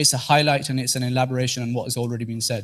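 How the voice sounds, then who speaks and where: A man's medium-pitched voice with a Teesside accent, very fast and fairly even in intonation. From northeast England, Teesside. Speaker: trainee corporate lawyer and presenter. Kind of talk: interactive presentation to mosque audience.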